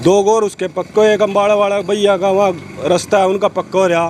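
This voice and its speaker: A man with a high pitch at a moderate pace, over noticeable background noise. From Haryana, Kurukshetra area. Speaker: villager interviewed. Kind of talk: street interview.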